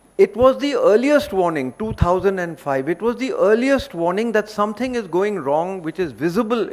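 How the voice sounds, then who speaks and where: Speaking at a moderate pace, a man has an Indian accent. His intonation is lively. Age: 70s. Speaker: environmental educator. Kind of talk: seminar talk.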